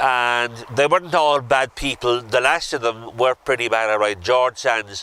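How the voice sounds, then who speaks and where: In a Kerry accent, a man talks at a moderate pace and medium pitch. His tone is bright and sharp, and his intonation stays fairly even. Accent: Irish, Kerry. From Ireland, north Kerry. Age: 70s. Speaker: local historian tour guide. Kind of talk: guided walking tour talk. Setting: outdoors.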